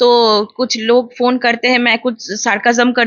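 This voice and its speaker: A woman's fairly high-pitched voice in flat, monotone intonation. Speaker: animal welfare activist. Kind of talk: interview.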